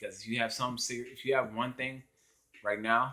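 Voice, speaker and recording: A man speaks at a fairly quick pace, his medium-pitched voice bright and sharp in tone. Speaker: vlogger. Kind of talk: casual vlog monologue. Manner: halting, stumbles over words.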